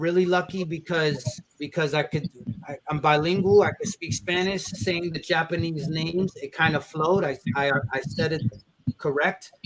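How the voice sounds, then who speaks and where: A man with a New York accent speaks at a fairly slow pace. His pitch sits high. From New York, Brooklyn. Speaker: rapper and event host. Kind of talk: casual chat. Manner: animated; halting.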